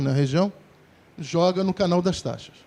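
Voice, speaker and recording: This man's voice sits at a high pitch and carries a dark, mellow tone. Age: 60s. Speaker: sanitation engineer. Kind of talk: lecture.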